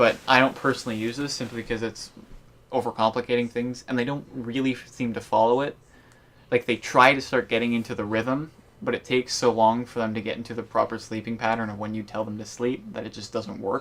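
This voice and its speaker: The speech moves at a fairly quick pace with a monotone, flat intonation. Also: man, medium pitch for a man. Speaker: gaming YouTuber. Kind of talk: game tutorial chat. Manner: fast.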